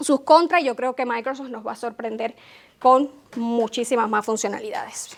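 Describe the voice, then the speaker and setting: This woman's voice is high-pitched. It varies in pitch in an ordinary way. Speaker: tech consultant, conference speaker. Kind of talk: conference talk. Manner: fast.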